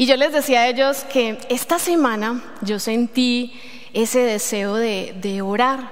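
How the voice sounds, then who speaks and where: A high-pitched woman's voice in a Colombian accent, with audible room echo and noticeable background noise. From Colombia, Medellín. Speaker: lay preacher. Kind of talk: sermon. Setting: church. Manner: halting.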